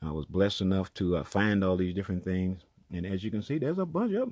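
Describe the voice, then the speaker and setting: Pitch varies in an ordinary way as the speech moves fairly quickly. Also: man. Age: 70s. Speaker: network marketer and vlogger. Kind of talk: casual vlog monologue. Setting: home office. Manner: halting, many restarts and fillers.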